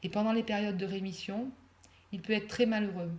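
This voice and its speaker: A woman of medium pitch speaks at a moderate pace with fairly even intonation and a somewhat breathy voice. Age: 60s. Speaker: mother of a son with mental illness. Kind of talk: reading aloud. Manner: less natural than usual, read.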